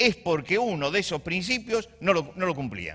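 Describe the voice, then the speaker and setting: Vocal fry runs through a man's bright, sharp voice as his pitch swings very widely. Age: 60s. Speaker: pastor. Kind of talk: sermon. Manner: halting.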